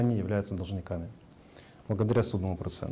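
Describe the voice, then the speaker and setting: A man's somewhat breathy, fairly low voice at a very fast pace, with ordinary pitch variation. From Ukraine, Kyiv. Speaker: private entrepreneur. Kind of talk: personal testimony. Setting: video call.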